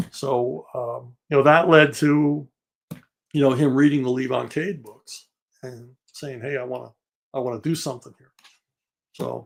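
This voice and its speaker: A man's medium-pitched voice in a Philadelphia accent, moderate pace, fairly even intonation, long and frequent pauses, and big swings in loudness. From Philadelphia, US. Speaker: comic writer and novelist. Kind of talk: interview, storytelling.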